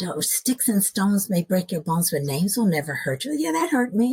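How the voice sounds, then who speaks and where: A woman with a medium-pitched, somewhat breathy voice swings her pitch very widely, recorded dry and close with no echo. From US, moved often (Nashville, Seattle suburbs, Alabama, Iowa). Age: 60s. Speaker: podcast guest. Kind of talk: interview storytelling.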